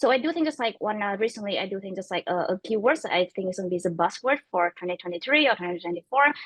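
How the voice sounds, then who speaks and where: A woman at medium pitch, very fast and with lively intonation, hardly pausing at all. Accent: non-native. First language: not English. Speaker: tech startup co-founder. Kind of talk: panel discussion. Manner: halting, many fillers.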